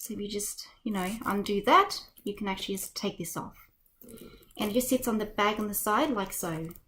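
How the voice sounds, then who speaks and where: With an Australian accent, the speaker moves at a fairly quick pace with ordinary pitch variation. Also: woman, medium pitch for a woman. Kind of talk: unboxing video narration.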